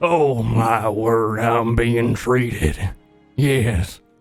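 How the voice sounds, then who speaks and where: Faint music sits behind a man doing a put-on character voice. His pitch is medium and his pace very slow. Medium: actual play. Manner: stammering, rambling, jittery.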